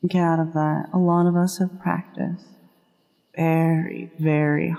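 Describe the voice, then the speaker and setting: In a fairly low pitch, a woman speaks fairly slowly with monotone, flat intonation. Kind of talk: ASMR affirmations stream, gentle talk to the listener. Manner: soft, reassuring.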